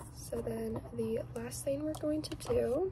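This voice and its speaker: A woman is soft-spoken. Noticeable background noise sits behind her. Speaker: beauty vlogger. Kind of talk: soft-spoken get-ready-with-me makeup talk. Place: home room. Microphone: phone near.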